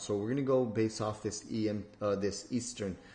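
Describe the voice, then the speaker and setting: Somewhat breathy and fairly low-pitched, a man talks at a moderate pace with fairly even intonation. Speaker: trading educator. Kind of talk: tutorial. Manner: casual with many fillers.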